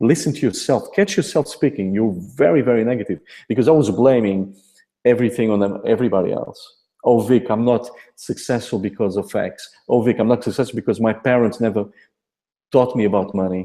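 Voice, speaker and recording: A dark, mellow tone in a Portuguese accent, fairly quick pace, ordinary pitch variation. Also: man, medium pitch for a man. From Portugal. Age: 40s. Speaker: affiliate marketer. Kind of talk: motivational testimony.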